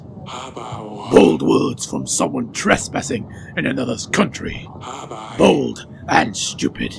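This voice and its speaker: Over clear background noise, a man puts on a raspy character voice, very deep and low, speaking very slowly with very wide pitch swings. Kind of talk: comedic game voice-over.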